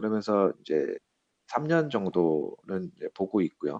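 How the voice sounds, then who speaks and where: Spoken at a very slow pace, the voice sounds dry and close with no echo. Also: man. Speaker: business consultant working in Russia. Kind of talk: interview.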